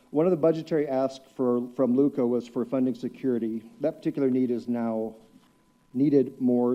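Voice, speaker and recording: An unremarkable speaking voice from a man with an American accent, medium pitch, fairly even intonation and a moderate pace. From West Texas. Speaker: public commenter. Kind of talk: public comment at council meeting. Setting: city council chamber.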